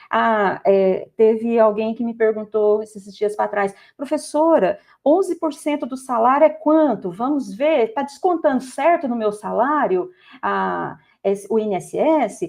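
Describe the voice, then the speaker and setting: A woman with a fairly high pitch and lively intonation speaks at a fairly slow pace. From Goiás, Brazil. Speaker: math teacher. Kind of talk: podcast interview. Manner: halting with false starts.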